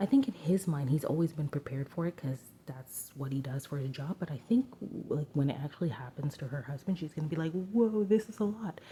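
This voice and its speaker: Soft-spoken, this voice moves at a fairly quick pace. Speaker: tarot reader. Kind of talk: tarot reading. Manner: casual with fillers.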